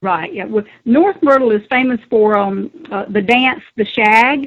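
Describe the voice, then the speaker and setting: A woman talks fairly slowly with a Southern US accent. Her pitch is fairly high and her intonation lively. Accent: Southern US accent, came back after training. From South Carolina. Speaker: former caregiver. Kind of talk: interview.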